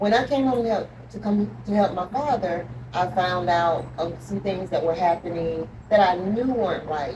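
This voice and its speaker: A woman with a Georgia accent at a moderate pace, ordinary pitch variation, noticeable background noise behind her. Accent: Southern US, Georgia. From US South, Georgia. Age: 50s. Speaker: author. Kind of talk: interview testimony. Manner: halting, many 'um' fillers.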